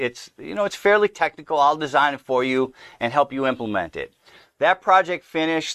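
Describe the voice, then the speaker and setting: In a plain, everyday voice, a man with an American accent talks at a fairly quick pace with lively intonation and a fairly high pitch, the sound dry and close with no echo over a quiet background. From US Midwest, Milwaukee, Wisconsin. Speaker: entrepreneur and speaker. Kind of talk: interview conversation. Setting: studio.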